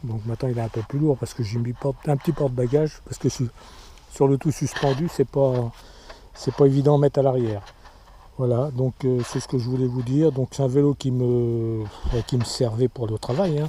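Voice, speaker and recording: The speech moves at a moderate pace with fairly even intonation. Long, frequent pauses break it up. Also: man, medium pitch for a man. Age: 60s. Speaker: amateur cyclist vlogger. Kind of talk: casual show-and-tell video. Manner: hesitant, many fillers.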